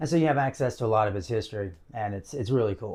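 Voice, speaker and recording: Over a silent background in a very clean recording, a man speaks in an American accent with ordinary pitch variation. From US South. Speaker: video blogger. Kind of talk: casual monologue to camera. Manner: casual, with many fillers.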